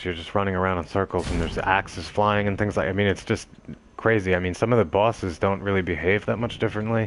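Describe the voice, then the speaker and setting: A man talks at a fairly quick pace and a fairly low pitch. His intonation is monotone and flat. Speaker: game streamer. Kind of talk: live gameplay commentary. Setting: live stream.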